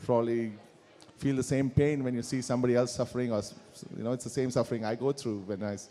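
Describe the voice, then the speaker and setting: A man speaks with a Kannada accent and fairly even intonation. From India, Karnataka (Bangalore). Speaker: musician. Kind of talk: interview with live audience. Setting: stage with audience.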